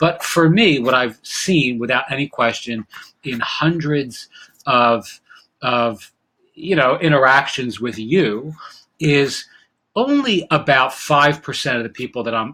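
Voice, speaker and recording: A man's fairly high, bright, sharp voice at a fairly slow pace, with ordinary pitch variation. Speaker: online business educator. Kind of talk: casual talking-head advice video. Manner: many fillers and restarts.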